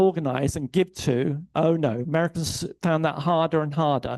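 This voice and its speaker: A man with an English accent speaks at a fairly high pitch. The sound is dry and close, with no echo and a quiet background. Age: 60s. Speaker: theologian and keynote speaker. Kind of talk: keynote speech. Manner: conversational, hesitant fillers.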